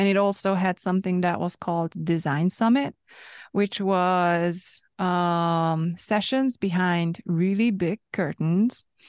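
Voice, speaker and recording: In a Hungarian accent, a woman speaks very slowly at medium pitch with ordinary pitch variation and very even loudness, the sound dry and close with no echo against a quiet background. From Hungary. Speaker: podcast host. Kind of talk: casual conversational interview.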